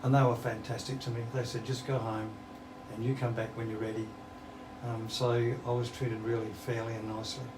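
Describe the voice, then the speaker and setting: Audible room echo and noticeable background noise surround a man speaking with an Australian accent at a medium pitch. He talks at a fairly quick pace in a monotone, flat intonation, with long, frequent pauses. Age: 70s. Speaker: musician. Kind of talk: interview.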